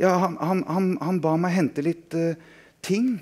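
In a put-on character voice, a man sounds shaky and nervous at a high pitch on a very clean recording with a silent background. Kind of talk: reading aloud to audience. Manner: trembling, nervous.

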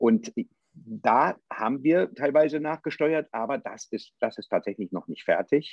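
A man's fairly high-pitched voice with vocal fry, very wide pitch swings and big swings in loudness, at a fairly slow pace, in a dry sound with no echo over a quiet background. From western Germany. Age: 50s. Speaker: politician and theologian; politician. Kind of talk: political debate. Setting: video call. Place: office. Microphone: video call.

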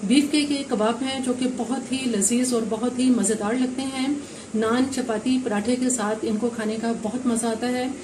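A woman's fairly high voice at a moderate pace, fairly even in intonation, with few pauses and audible room echo

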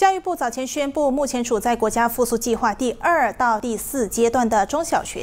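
A woman's high-pitched voice at a moderate pace. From Malaysia. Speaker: news reader. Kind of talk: news reading. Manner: formal. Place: studio.

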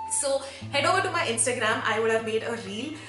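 Clear music plays in the background. The speech goes at a moderate pace. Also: woman. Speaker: education vlogger. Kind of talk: tips vlog to camera. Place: home room.

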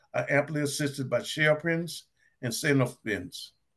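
Over a quiet background, a man with a fairly high pitch and a somewhat breathy voice speaks at a moderate pace with ordinary pitch variation. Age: 60s. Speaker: retired business owner. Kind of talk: group study discussion. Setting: video call. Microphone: webcam.

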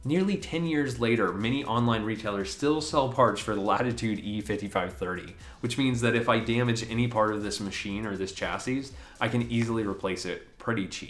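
A man talks at a moderate pace with ordinary pitch variation. Faint music plays behind him. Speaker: tech video creator. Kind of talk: tech review commentary. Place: home room.

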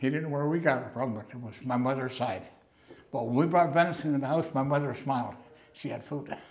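A man rushes along at a very fast pace while his intonation stays fairly even. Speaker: interviewee. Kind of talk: interview answer. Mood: warm, amused reminiscing. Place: home room. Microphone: lapel.

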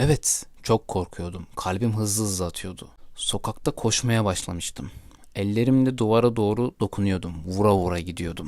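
In a very clean recording with a silent background, a man with a fairly low pitch speaks at a moderate pace in an animated, dramatic tone with ordinary pitch variation. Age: 20s. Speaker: podcaster telling personal memories. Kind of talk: personal storytelling.

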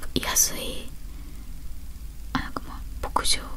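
There is noticeable background noise. Over it, a woman speaks at a moderate pace. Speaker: ASMR creator. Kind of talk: ASMR whispered talk. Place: home room. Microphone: handheld.

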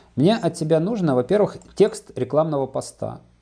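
Fairly high male voice with lively intonation, a dark, mellow tone and moderate pace. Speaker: business coach. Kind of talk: coaching conversation. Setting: video call. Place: office. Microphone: lapel.

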